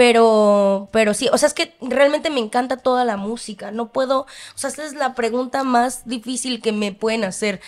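A woman with a Mexican accent talks in a high voice, her intonation fairly even and hardly any pauses between words. The background is quiet. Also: moderate pace. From Mexico. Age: 20s. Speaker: singer. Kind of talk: casual interview. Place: studio. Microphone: studio mic.

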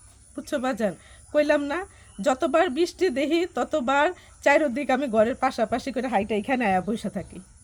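A woman with a high pitch and lively intonation. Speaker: aid recipient, guest's wife. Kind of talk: testimony.

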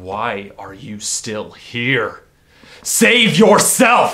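Using a put-on character voice, a man with a medium pitch speaks at a very slow pace. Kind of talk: dramatic monologue acting. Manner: desperate, pleading, anguished.

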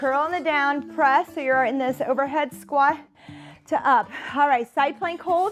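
A woman's high-pitched voice at a fairly slow pace, with ordinary pitch variation and faint music in the background. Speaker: fitness instructor. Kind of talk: workout instruction. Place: studio.

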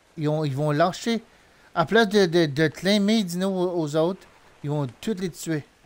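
At a very slow pace, a man with a Quebec accent speaks in a high pitch with ordinary pitch variation. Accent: Québécois French. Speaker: gaming streamer. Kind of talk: live gameplay commentary. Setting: live stream. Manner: animated.

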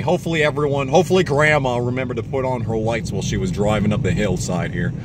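A man talks at a very fast pace with lively intonation, the sound dry with no echo but with noticeable background noise. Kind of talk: casual vlog chat. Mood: tense, joking. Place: car. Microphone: phone near.

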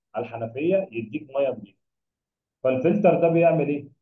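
A man with a fairly high pitch speaks at a moderate pace, with audible room echo over a quiet background. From Egypt. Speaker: biology tutor. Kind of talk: lecture. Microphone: webcam.

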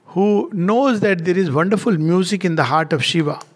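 The speaker is a man whose voice sits high. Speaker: spiritual teacher. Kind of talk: lecture. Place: home room. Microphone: headset.

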